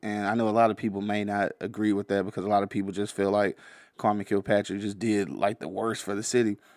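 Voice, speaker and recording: A man talks in a fairly low pitch with monotone, flat intonation. The recording is very clean, with a silent background. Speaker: podcast host and producer. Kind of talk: casual podcast hosting. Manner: laid-back, filler-heavy, conversational.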